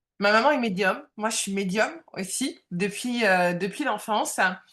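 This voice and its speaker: Talking fairly slowly, a woman keeps to a fairly high pitch. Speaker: medium and coach, former job counselor. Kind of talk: interview. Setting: live video stream. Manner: loud; halting, many fillers.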